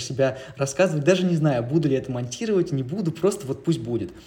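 The voice has a dark, mellow tone, somewhat breathy, moving at a very fast pace with ordinary pitch variation. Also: man. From Siberia, Russia (Novosibirsk). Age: 20s. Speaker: documentary filmmaker and journalist. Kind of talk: casual interview chat.

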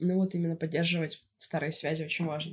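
A woman speaks at a moderate pace with fairly even intonation. Her voice is somewhat breathy and fairly low in pitch. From Russia, St Petersburg. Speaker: podcast co-host. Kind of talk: casual chat.

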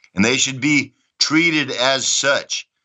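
Talking at a very slow pace, a man uses a fairly high pitch and an American accent. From Texas, Dallas. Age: 60s. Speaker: former soldier. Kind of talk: interview. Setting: remote call. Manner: high energy.

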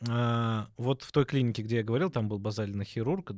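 On a very clean recording with a silent background, a man with a plain, everyday voice speaks at medium pitch and a fairly quick pace with lively intonation. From Obninsk, Russia, in a Georgian diaspora. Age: 30s. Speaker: dental surgeon. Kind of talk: casual chat.

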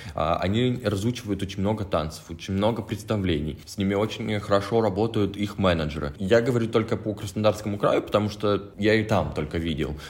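With noticeable background noise behind him, a man speaks at a fairly quick pace and ordinary pitch variation. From Russia, Krasnodar. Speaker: head bartender. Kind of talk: casual chat.

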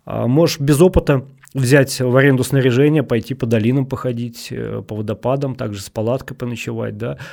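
A man speaks in a normal speaking voice at a medium pitch and fairly quick pace, with fairly even intonation and big swings in loudness. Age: 40s. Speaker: hiking and rafting guide. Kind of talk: casual chat.

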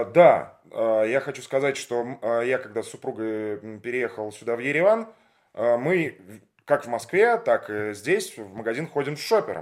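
Using an unremarkable speaking voice, a man talks at medium pitch and a fairly slow pace, with big swings in loudness. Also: lively intonation. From Russia, Leningrad. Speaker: podcast host, former radio presenter. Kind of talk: interview. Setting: at the guest's home.

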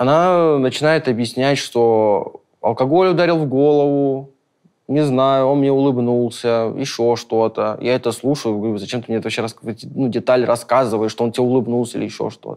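Here a man speaks at a moderate pace with a medium pitch. His pitch variation is ordinary, and the background is quiet. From Caucasus. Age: young. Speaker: film crew worker. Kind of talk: personal testimony. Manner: halting, many fillers.

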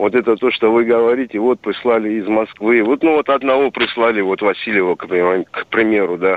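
A man's medium-pitched voice with ordinary pitch variation, at a moderate pace with hardly any pauses. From Dagestan, Russia. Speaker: caller. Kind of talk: phone-in question. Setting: phone call. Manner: halting.

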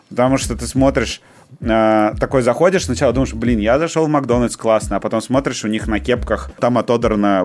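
With a normal speaking voice, a man talks at a moderate pace with lively intonation. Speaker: podcast co-host. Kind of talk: casual chat.

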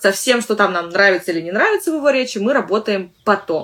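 This woman speaks at a very fast pace. Her pitch is medium, with ordinary variation. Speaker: English teacher and podcast host. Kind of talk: solo podcast monologue. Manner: conversational with frequent fillers.

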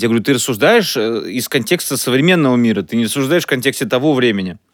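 A man speaks very fast at a medium pitch, his intonation lively. The recording is very clean, with a silent background. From Russia, Chelyabinsk. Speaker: podcast co-host, comedian and writer. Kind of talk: casual chat.

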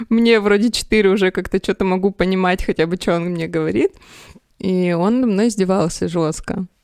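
A woman speaks in an unremarkable speaking voice at a medium pitch, with fairly even intonation and a moderate pace. The sound is dry and close, with no echo. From Russia, Sverdlovsk region. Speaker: graphic designer. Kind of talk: casual chat.

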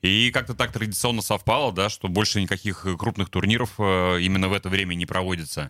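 On a very clean recording with a silent background, a man with a very deep, low voice and a bright, sharp tone speaks at a fairly quick pace with hardly any pauses, very even loudness and ordinary pitch variation. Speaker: former ice hockey player. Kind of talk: radio interview. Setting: studio.

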